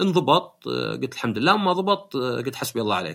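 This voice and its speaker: A man with a Saudi accent, very wide pitch swings and a moderate pace. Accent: Gulf Arabic (Saudi). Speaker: podcast host. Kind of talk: casual chat.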